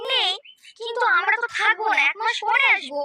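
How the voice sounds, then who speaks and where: A female-sounding cartoonish character voice, extremely high in pitch, moves along at a moderate pace. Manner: bossy, scolding.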